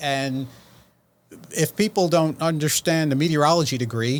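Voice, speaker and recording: A man with an American accent talks at a moderate pace with a fairly high pitch. The recording is very clean, with a silent background. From New York. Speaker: TV meteorologist. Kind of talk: interview.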